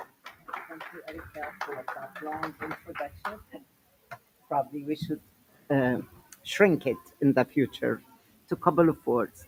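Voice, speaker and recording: Pausing often and at length, a woman with a strong Syrian accent speaks at a fairly slow pace in a very deep, low pitch. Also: ordinary pitch variation, big swings in loudness. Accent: heavy Syrian Arabic. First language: Arabic. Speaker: educator and guest speaker. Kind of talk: lecture.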